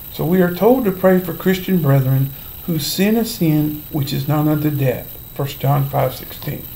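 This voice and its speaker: At a fairly slow pace, a man speaks with ordinary pitch variation over light background noise. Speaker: Bible teacher. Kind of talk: sermon-style Bible teaching vlog. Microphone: webcam.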